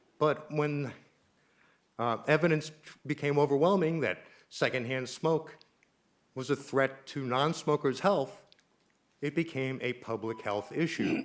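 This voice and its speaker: A man talks at a fairly slow pace and a fairly high pitch with ordinary pitch variation. His speech has long, frequent pauses. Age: 60s. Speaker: public commenter at town council meeting. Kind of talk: public comment.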